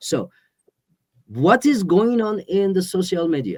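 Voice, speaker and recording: A man talks at a very slow pace. He has a Persian accent. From Iran. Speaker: exiled musician. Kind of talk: interview. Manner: halting.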